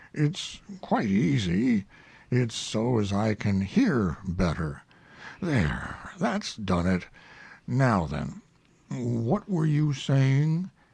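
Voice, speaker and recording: Using a raspy, put-on character voice at medium pitch, a man speaks at a very slow pace with long, frequent pauses. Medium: read story. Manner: slow, mournful, deadpan.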